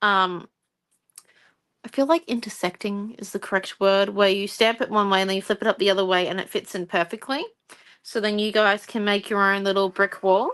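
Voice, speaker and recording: With an Australian accent, a woman talks at a fairly quick pace, her medium pitch carrying fairly even intonation. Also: quiet background. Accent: Australian, moderate. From Australia, regional Queensland. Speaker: craft tutor. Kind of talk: livestream craft tutorial. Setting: live stream at night. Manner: casual, chatty.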